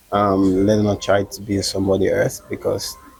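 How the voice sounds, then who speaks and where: The speech is monotone with flat intonation. Noticeable background noise runs behind it. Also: man. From Gambia. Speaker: comedian and actor. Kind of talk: interview.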